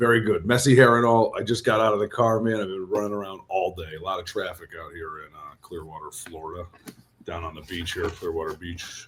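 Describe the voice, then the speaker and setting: A man talking at a fairly quick pace, with big swings in loudness. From Long Island, New York. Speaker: pro wrestler. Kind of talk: casual chat.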